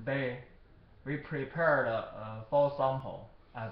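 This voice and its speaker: Audible room echo surrounds a man speaking with a Chinese accent and fairly even intonation. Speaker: product seller. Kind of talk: product demonstration. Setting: recorded on computer camera. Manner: halting. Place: office. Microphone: webcam.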